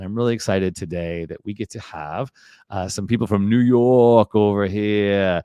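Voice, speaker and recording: A man's fairly low, dark and mellow voice with a Chicago accent, moderate pace and ordinary pitch variation, dry, close sound with no echo against a quiet background. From Chicago, US Midwest. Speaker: podcast host. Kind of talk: casual chat.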